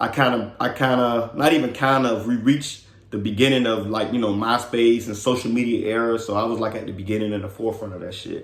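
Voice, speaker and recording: Speaking very fast with hardly any pauses, a man with an American accent keeps his medium-pitched voice fairly even. Room echo is audible. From Miami, Florida (Carol City). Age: 30s. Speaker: podcast host. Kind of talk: casual monologue.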